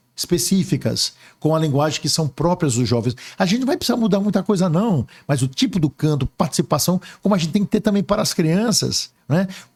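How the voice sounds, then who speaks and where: A man's high-pitched voice with lively intonation. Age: 60s. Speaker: archbishop. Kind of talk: interview. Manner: hesitant fillers.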